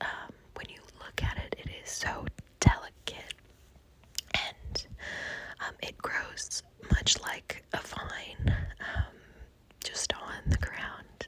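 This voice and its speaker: A whisper at a very slow pace, broken by long, frequent pauses, over noticeable background noise. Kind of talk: ASMR conversational whisper. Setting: outdoors. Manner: whispered; hesitant, many filler words.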